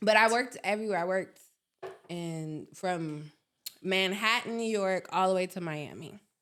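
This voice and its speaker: A woman's animated voice at medium pitch and a moderate pace, with ordinary pitch variation. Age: 30s. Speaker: content creator. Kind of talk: casual chat.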